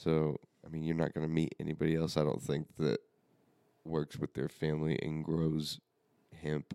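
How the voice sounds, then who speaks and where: Man with an American accent, very deep and low in pitch, dark and mellow in tone, with monotone, flat intonation, a moderate pace, long, frequent pauses and a dry, close sound with no echo. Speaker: family member and co-host, plant grower. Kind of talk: casual family chat. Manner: joking, laid-back.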